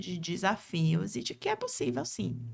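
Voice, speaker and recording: A woman with a Bahian accent speaks at a moderate pace in a bright, sharp tone with vocal fry. The recording is very clean, with a silent background. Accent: Bahian (northeastern Brazilian) accent, kept. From Brazil, interior of Bahia. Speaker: lawyer and speaker. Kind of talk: interview.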